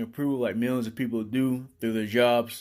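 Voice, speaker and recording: Music plays in the background as a man speaks at medium pitch. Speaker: fitness consultant. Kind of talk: motivational talk.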